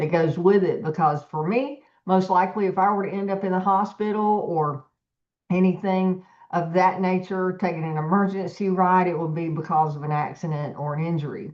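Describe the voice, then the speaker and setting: A woman talks at a moderate pace and medium pitch. She has an unremarkable speaking voice. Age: 60s. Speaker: business team leader. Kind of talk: team meeting presentation.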